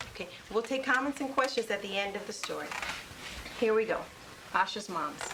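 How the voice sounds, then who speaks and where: A woman with a fairly high pitch and ordinary pitch variation speaks at a fairly quick pace with long, frequent pauses over noticeable background noise. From Puerto Rican family, first generation. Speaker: elementary school teacher. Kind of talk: interview; reading aloud.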